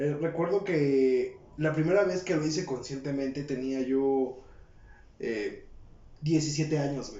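A man with a Mexican accent speaks at a very slow pace, his pitch fairly high and his intonation fairly even. Audible room echo and noticeable background noise surround him. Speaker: podcast co-host. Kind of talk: casual chat.

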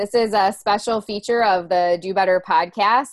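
There is an American accent in this woman's speech. She keeps a moderate pace, and her pitch varies in an ordinary way. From Ohio or Pennsylvania, US. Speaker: podcast host. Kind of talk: casual chat.

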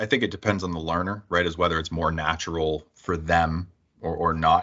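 With a Canadian accent, a man speaks at a moderate pace in a very deep, low pitch and fairly even intonation. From Niagara Falls, Ontario, Canada. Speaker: work-integrated learning program director and podcast host. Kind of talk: interview.

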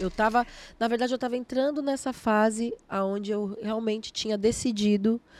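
A woman speaks with fairly even intonation. The very clean recording has a silent background and a dry, close sound with no echo. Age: 30s. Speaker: gospel singer and musician. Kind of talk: casual interview chat.

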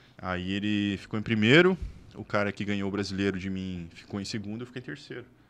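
A man talks fairly fast in a normal speaking voice, pitched fairly low, with fairly even intonation. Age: 40s. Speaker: bodybuilding athlete. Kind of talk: casual chat.

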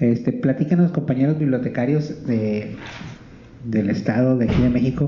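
A man with a normal speaking voice talks at a medium pitch and a moderate pace. His loudness is very even, with ordinary pitch variation. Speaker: radio host. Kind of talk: casual chat. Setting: live broadcast from a library.

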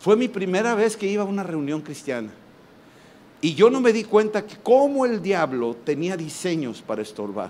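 A high-pitched man with very wide pitch swings and an animated tone, audible room echo around him. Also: moderate pace. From Mexico. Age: 60s. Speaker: preacher. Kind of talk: sermon. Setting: stage with audience.

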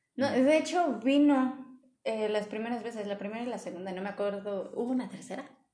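In a room with audible echo, a woman speaks at a fairly quick pace with fairly high pitch and ordinary pitch variation. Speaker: podcast host. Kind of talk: casual chat. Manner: loud.

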